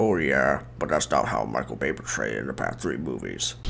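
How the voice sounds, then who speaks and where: A man puts on a character voice at a fairly quick pace. Background noise is clearly heard. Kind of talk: stop-motion comedy skit.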